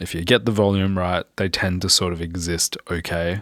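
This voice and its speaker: On a very clean recording with a silent background and a dry, close sound with no echo, a man speaks with a very deep, low pitch in an Australian accent. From Australia, Perth. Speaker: music producer and mixing engineer. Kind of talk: tutorial. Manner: casual.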